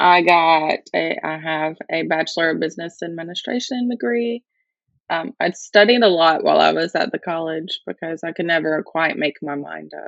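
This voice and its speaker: A woman with a fairly low voice speaks in an Alabama accent, her pitch varying in an ordinary way. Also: moderate pace. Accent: Southern US (Alabama). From US South, north Alabama. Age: 20s. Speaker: marketing employee. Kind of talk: casual interview.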